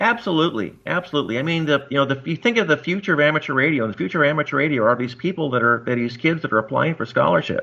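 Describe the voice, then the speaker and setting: A man with an American accent talks at a very fast pace in a bright, sharp tone against a quiet background. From US West Coast, Long Beach California. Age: 60s. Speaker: amateur radio operator. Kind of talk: interview. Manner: halting, many fillers.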